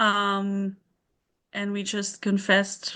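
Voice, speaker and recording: Her tone is bright and sharp. The woman speaks with a slight German accent. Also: quiet background. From southern Germany, near Stuttgart. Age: 30s. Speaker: mother sharing parenthood story. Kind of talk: interview.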